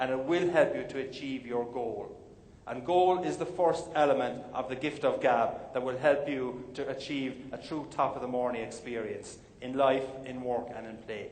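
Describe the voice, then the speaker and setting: The speaker has an Irish accent and ordinary pitch variation at a moderate pace. Noticeable background noise can be heard. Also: man. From Ireland. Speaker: motivational speaker. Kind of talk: keynote speech. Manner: humorous.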